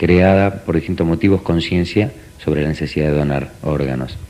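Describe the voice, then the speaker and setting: Noticeable background noise sits behind a man whose very deep, low voice holds fairly even intonation. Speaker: parent of transplant patient. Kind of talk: TV interview.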